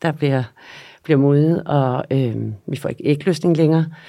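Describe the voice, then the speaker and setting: A woman's very deep, low voice, dark and mellow in tone, at a moderate pace. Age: 50s. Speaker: nutrition therapist and yoga instructor. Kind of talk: interview.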